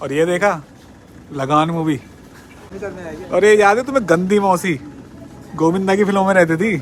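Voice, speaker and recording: The speaker pauses long and often, with ordinary pitch variation, against noticeable background noise. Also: man, high pitch for a man. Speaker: cab driver vlogger. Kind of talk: casual vlog. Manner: conversational.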